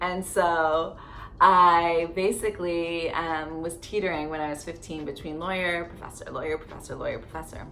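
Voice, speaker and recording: With a Canadian accent, a woman talks in a fairly low, monotone, flat voice with big swings in loudness, over noticeable background noise and audible room echo. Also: moderate pace. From Canada, Barrie, Ontario. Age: 30s. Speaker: lifestyle vlogger. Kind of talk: casual storytelling vlog. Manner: chatty, lots of fillers.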